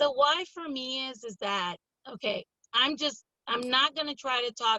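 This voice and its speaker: With an American accent and an animated tone, a woman talks at a fairly slow pace in a high voice, her pitch varying in an ordinary way while her loudness swings widely. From California, Pittsburg (Bay Area). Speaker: school board candidate. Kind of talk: interview. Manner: loud, animated.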